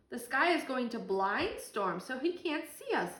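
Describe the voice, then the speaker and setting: In a put-on character voice, a woman talks at a moderate pace with a high pitch. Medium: read story.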